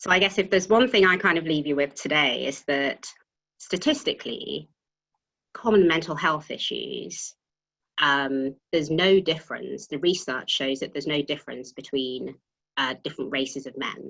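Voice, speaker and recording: A woman with a British accent speaks at a moderate pace in a very deep, low voice with lively intonation. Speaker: tax partner at a professional services firm. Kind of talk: panel webinar talk. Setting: video call. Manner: occasionally trips over words.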